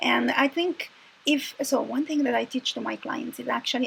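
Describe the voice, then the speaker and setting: A woman speaks with an Italian accent at a moderate pace. Noticeable background noise can be heard. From Italy. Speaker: confidence coach. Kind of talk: casual chat. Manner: hesitant, many fillers.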